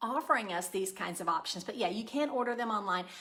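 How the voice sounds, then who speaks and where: Loud and fairly high, a woman's voice comes through. Its tone is bright and sharp. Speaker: cooking channel host. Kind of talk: live stream chat and cooking demo. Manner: casual with many fillers.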